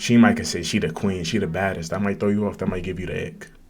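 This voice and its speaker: Speaking at a fairly quick clip with an animated tone and ordinary pitch variation, a man is heard in a room with audible echo. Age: young. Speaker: podcast host. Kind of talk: casual chat. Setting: livestream with chat.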